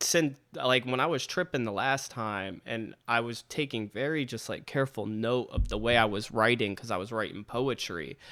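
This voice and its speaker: Loud and bright with a sharp tone, a man speaks at medium pitch with hardly any pauses. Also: ordinary pitch variation, moderate pace. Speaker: podcast host; rapper. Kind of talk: casual chat. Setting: video call.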